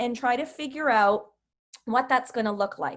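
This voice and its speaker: A woman speaks with a high pitch and lively intonation. The recording is very clean, with a silent background. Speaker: business coach leading a team training call. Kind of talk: group training call.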